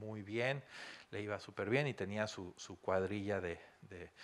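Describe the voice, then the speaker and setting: A man with a Mexican accent and a fairly low pitch speaks at a fairly slow pace. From Mexico. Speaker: consultant; guest lecturer. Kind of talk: lecture. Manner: animated. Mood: warm, joking. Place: hall.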